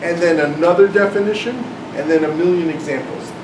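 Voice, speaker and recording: In a room with audible echo and noticeable background noise, a man shouts loudly in a high pitch. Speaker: math professor and author giving a talk. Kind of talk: lecture. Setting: classroom talk with live audience. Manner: loud, yelling over air conditioner.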